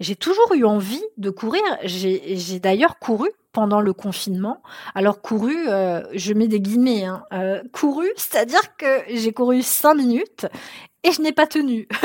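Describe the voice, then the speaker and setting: The speech moves at a very slow pace, with very wide pitch swings. The sound is dry and close, with no echo. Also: woman, fairly high pitch for a woman. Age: 30s. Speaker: therapist and anxiety coach podcast host. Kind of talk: solo podcast monologue. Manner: casual, with frequent hesitations.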